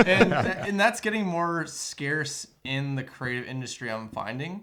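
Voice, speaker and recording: At a fairly slow pace, a man with a slight Canadian accent speaks in a bright, sharp tone, fairly high in pitch, with lively intonation. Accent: Canadian accent barely noticeable. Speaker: videographer and business owner. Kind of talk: casual chat.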